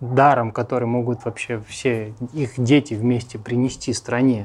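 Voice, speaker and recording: A man speaks at a very slow pace over a quiet background. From Russia, Armenian family. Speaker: emigrant sharing life abroad. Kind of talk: interview.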